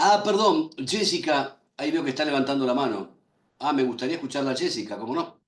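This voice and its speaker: This man has a plain, everyday voice pitched fairly high. His intonation is lively. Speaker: lecturer on medical law. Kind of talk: lecture. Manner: slow.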